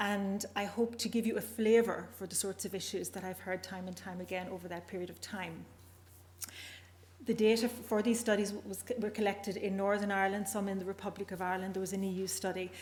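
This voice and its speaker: A woman talks at a medium pitch with monotone, flat intonation. Her voice is somewhat breathy. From Northern Ireland. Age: older. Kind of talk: conference presentation.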